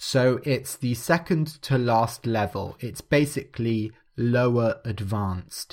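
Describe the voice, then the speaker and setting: This man talks at a very slow pace with hardly any pauses, using a medium pitch and ordinary pitch variation. The recording is very clean, with a silent background. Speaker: podcast host, English teacher. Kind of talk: casual talk about English learning levels. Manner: natural pace, not slowed down.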